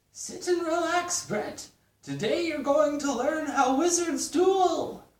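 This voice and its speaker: A high-pitched, put-on character voice moves at a fairly slow pace. There is slight echo. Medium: read story. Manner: pompous, theatrical.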